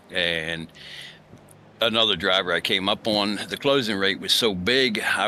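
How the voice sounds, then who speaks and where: A fairly low-pitched man's voice over noticeable background noise. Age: 60s. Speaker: sim racing driver. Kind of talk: interview. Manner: halting.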